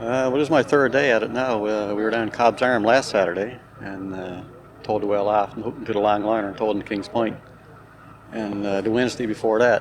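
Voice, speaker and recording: Very fast speech in a Newfoundland accent, with fairly even intonation over noticeable background noise. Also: man, fairly low pitch for a man. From Newfoundland, Springdale. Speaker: volunteer on whale-towing project. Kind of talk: casual on-site interview. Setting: outdoors on a beach.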